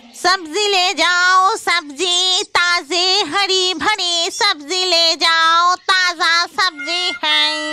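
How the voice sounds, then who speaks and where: This cartoonish character voice is extremely high-pitched and very slow. It runs on with hardly any pauses. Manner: simple, chatty, easily discouraged.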